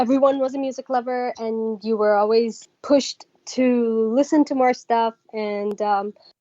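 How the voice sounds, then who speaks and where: The delivery is fairly slow with hardly any pauses, fairly even intonation and a dark, mellow tone, in a dry, close sound with no echo. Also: woman, fairly high pitch for a woman. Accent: Persian. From Iran. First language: Persian. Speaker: singer. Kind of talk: interview.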